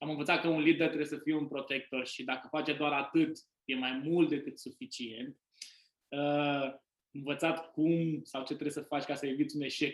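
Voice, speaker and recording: This man's fairly high voice stays monotone, with flat intonation. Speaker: podcast host, business owner. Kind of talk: casual interview.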